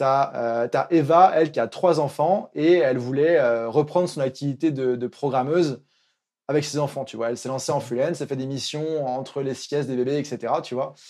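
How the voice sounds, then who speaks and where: An ordinary speaking voice moves at a moderate pace with fairly even intonation against a quiet background. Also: man, fairly high pitch for a man. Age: 20s. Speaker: freelance coach for digital nomads. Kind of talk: casual interview.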